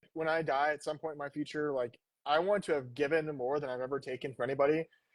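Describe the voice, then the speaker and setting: Over a quiet background, a man speaks very fast with fairly even intonation, the sound dry and close with no echo. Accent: American. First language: Spanish. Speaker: fighter pilot. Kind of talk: interview.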